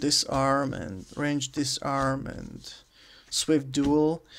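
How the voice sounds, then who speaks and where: Very clean recording of a man's voice against a silent background. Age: 20s. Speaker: tabletop game master and hobby YouTuber. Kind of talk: casual vlog introduction. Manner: hesitant, many filler sounds.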